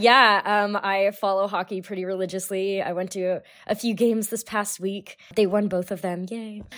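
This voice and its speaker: A woman with an American accent at medium pitch and a moderate pace, with hardly any pauses, monotone, flat intonation and a very clean recording with a silent background. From California. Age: 20s. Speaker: lab manager, listener guest. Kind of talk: casual interview chat.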